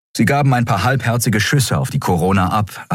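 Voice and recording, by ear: Here someone reads aloud. The voice stays natural.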